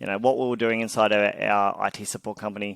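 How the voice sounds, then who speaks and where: Fairly even intonation comes with an Australian accent in a very clean recording, dry and close with no echo and a silent background. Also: man. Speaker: tech startup founder and CEO. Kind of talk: interview.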